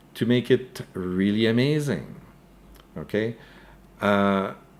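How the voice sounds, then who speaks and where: Speaking at a very slow pace, a man with a French accent uses a fairly low pitch. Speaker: crypto news YouTuber. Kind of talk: live stream commentary with Q&A. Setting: live stream. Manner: hesitant, many fillers and repeated words.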